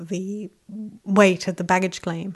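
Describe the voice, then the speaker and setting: Here a woman talks at fairly low pitch. Her intonation is monotone and flat. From England and Mexico. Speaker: information designer. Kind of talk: interview.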